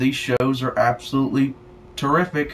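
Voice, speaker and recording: In a Southern US accent, a man with a fairly high pitch speaks at a fairly slow pace. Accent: sounds country (rural Southern US). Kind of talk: casual talk to camera, rant. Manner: rambling, profane.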